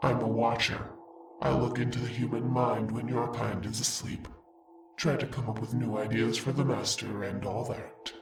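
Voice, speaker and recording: A man performs a put-on character voice at a medium pitch. Faint music plays in the background. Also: moderate pace. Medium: read story. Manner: mocking, sly.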